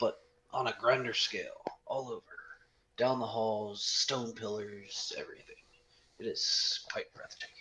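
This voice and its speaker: A man performs a put-on character voice at a moderate pace. He leaves long, frequent pauses. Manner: wistful, admiring.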